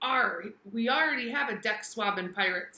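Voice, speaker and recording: A woman putting on a character voice at a fairly high pitch. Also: moderate pace. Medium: read story. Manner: growling pirate talk.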